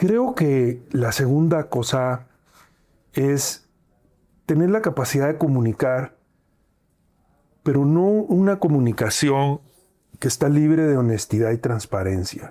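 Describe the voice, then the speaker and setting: A man's fairly high, dark, mellow voice at a very slow pace, with lively intonation, very even loudness and long, frequent pauses. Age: 60s. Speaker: airline founder and CEO. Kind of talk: interview.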